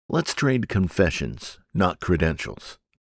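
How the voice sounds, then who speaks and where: In a very clean recording with a silent background and a dry, close sound with no echo, a man with a plain, everyday voice speaks at a fairly slow pace, fairly low in pitch and with lively intonation. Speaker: audiobook narrator. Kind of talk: audiobook narration.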